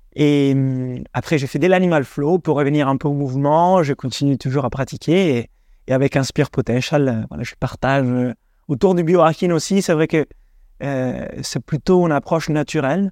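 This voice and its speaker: A fairly high-pitched man at a moderate pace with ordinary pitch variation, a dry, close sound with no echo and a quiet background. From Italy. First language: Italian (speaking French). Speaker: breathing coach. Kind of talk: interview.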